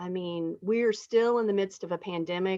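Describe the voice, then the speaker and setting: A woman talks at a medium pitch in an ordinary speaking voice. The sound is dry and close, with no echo. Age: 60s. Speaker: state legislator hosting town hall. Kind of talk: town hall discussion. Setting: video call.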